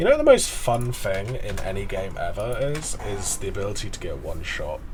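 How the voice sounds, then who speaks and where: Fairly quick speech with a Southern English accent, amid noticeable background noise and audible room echo. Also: man. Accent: generic Southern English, slight twang. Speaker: video game streamer. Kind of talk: casual live-stream chat. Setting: live stream.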